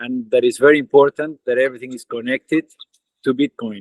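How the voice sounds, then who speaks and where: Here a man talks at a fairly quick pace in an Argentine accent. His pitch sits in the medium range. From Argentina. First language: Spanish. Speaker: tech company co-founder. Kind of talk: online webinar greeting.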